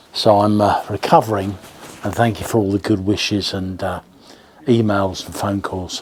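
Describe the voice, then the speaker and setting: A man with an English accent and a fairly low pitch speaks at a moderate pace. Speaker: radio shop owner and video host. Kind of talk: casual video address. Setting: in the shop. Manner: hesitant, many fillers.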